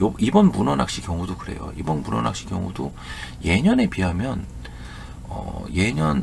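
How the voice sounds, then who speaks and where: The speech comes at a fairly slow pace with lively intonation. Noticeable background noise is present. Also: man. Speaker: fishing youtuber. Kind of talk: casual talk to viewers. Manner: halting, many repeats and fillers.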